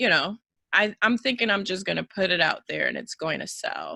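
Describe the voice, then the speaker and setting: The sound is dry and close, with no echo. A woman talks at a moderate pace. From Dominican Republic, raised in New York. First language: Spanish. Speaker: life coach and poet. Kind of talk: interview. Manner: soft-spoken.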